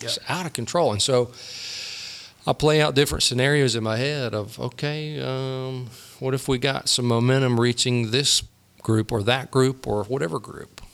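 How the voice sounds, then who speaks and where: A man with a normal speaking voice talks at a moderate pace. His pitch is medium and his intonation fairly even. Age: 50s. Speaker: pastor. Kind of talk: casual chat.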